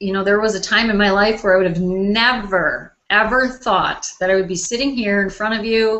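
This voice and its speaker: At a moderate pace, a woman with a Wisconsin accent speaks at medium pitch with fairly even intonation. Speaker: life coach hosting online launch party. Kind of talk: motivational talk to live online audience. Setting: live video call broadcast.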